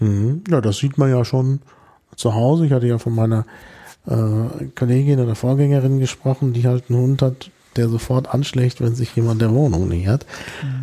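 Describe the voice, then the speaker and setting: At a moderate pace, a man speaks with a medium pitch, ordinary pitch variation and a dark, mellow tone. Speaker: podcast host. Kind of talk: casual interview.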